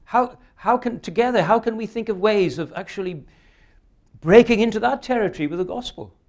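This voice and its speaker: With a Welsh accent, a man speaks at a moderate pace and a high pitch for a man. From South Wales. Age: 70s. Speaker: preacher. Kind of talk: sermon. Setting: church.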